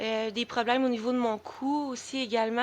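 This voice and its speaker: A woman speaks at a fairly high pitch in a monotone, flat intonation. The background is quiet. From Quebec. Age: 20s. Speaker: special education worker on sick leave, chronic illness advocate. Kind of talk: podcast interview. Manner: halting, many fillers.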